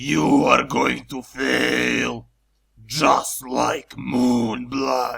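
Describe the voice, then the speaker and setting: A raspy put-on character voice from a man, delivered very slowly. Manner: taunting, menacing.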